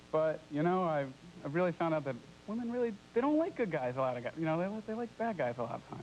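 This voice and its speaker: An American-accented man talks at a very fast pace in a high voice with very wide pitch swings. Noticeable background noise is present. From New York. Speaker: kindergarten teacher, game show contestant. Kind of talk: casual contestant talk on a TV dating show.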